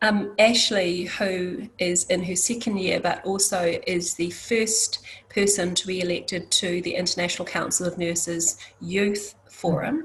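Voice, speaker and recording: A woman's medium-pitched voice at a fairly slow pace, with fairly even intonation and noticeable background noise. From New Zealand, Māori. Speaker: nursing organisation leader. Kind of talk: panel introduction. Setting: conference panel. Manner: halting.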